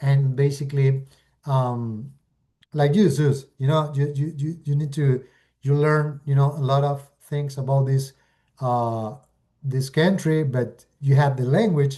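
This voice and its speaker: Against a quiet background, a man with an Argentine accent speaks at a fairly slow pace in a fairly high, somewhat breathy voice with fairly even intonation. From Argentina. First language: Spanish. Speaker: real estate investor. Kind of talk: webinar presentation. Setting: video call. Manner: halting, with many fillers.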